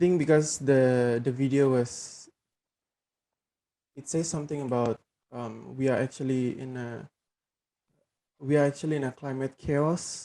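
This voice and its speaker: A soft-spoken man with a dark, mellow tone and medium pitch talks at a fairly slow pace, with long, frequent pauses, fairly even intonation and big swings in loudness. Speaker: program participant. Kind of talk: casual discussion. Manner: hesitant.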